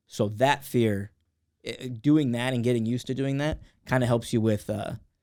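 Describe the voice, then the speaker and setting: A normal speaking voice from a man, medium in pitch, with fairly even intonation and a moderate pace. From California, Los Angeles County. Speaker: comedian. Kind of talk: casual chat.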